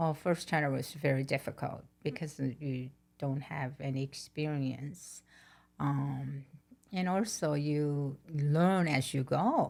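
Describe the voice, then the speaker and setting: A woman's very deep, low voice with fairly even intonation, at a very slow pace. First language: not English. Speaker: podcast host's mother. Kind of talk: interview.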